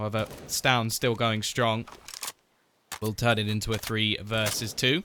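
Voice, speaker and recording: A man speaks at a fairly slow pace with an English accent, his pitch medium. Long pauses come often. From southern England, near London. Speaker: esports caster. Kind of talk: live commentary. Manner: animated.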